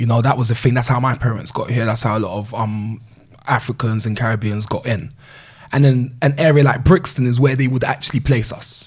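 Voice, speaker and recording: A man's somewhat breathy, medium-pitched voice at a fairly quick pace with fairly even intonation. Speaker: community leader, former gang leader. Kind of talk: interview conversation. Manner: casual, filler-heavy speech.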